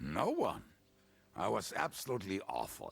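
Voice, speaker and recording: A raspy, put-on character voice at a moderate pace. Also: man. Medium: video game. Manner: crude, jovial.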